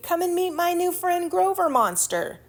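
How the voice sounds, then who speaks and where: A squeaky, extremely high put-on character voice speaks at a moderate pace. The recording is very clean, with a silent background. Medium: read story.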